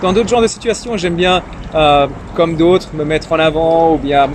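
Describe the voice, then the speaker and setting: Noticeable background noise fills the recording. Through it comes a man's fairly high voice. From Iran. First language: Persian (Farsi) (speaking French). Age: young. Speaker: young politician and entrepreneur. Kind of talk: casual interview. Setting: interview over drinks. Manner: hesitant, many fillers.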